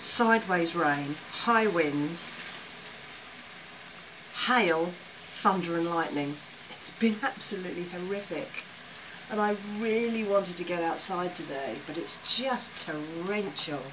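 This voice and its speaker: A woman with a fairly low pitch and ordinary pitch variation talks at a very slow pace, leaving long, frequent pauses over noticeable background noise. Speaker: vlogger. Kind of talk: casual vlog chat. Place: home room. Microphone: phone near.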